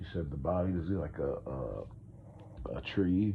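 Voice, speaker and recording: Somewhat breathy, a man speaks with audible room echo. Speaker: podcast host. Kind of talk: casual monologue. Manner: rambling, hesitant with fillers.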